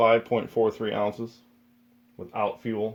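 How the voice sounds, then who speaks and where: A man talks at a fairly slow pace. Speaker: outdoor gear reviewer. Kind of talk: product review. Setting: basement. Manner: casual, with fillers.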